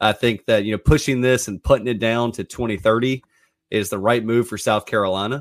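A man speaks at a fairly quick pace in a normal speaking voice. His pitch sits in the medium range and his intonation stays fairly even. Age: 30s. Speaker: sports reporter. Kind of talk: sports talk show.

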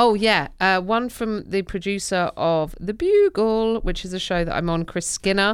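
Moderate-paced speech from a woman with an English accent, with hardly any pauses. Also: medium pitch for a woman, ordinary pitch variation. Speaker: comedian. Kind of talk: casual chat.

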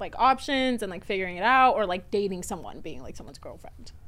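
Using a normal speaking voice, a woman with an American accent speaks in a medium pitch with ordinary pitch variation. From Florida, US. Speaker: reality TV personality and podcaster. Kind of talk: casual chat.

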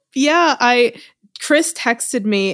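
Against a silent background in a very clean recording, a woman speaks in an animated tone at a fairly high pitch. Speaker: podcast host. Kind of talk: casual chat.

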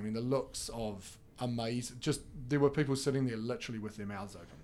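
In a New Zealand accent, a man talks at a moderate pace. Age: 40s. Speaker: esports federation representative. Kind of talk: casual interview. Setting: studio.

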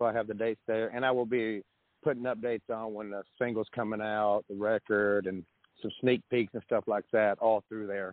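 Flat, monotone intonation in a Southern US accent. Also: man, fairly low pitch for a man. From US South, Nashville area. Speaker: rock musician. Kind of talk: casual interview chat. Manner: fast talker.

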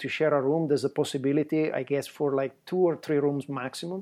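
A fairly high-pitched man with an Italian accent, monotone and flat, at a fairly quick pace. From Italy. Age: 50s. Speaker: travel photographer. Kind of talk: casual chat.

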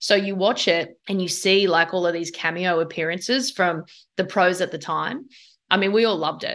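A woman's voice with an Australian accent and ordinary pitch variation. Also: medium pitch for a woman, moderate pace. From Australia, Sydney. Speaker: surfing league executive and former pro surfer. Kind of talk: interview.

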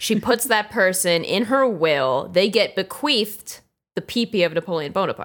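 A woman's unremarkable speaking voice with an American accent, medium in pitch, at a moderate pace and very even in loudness. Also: lively intonation. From New Jersey. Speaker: marketing staffer, social media. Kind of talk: casual chat, comedy podcast.

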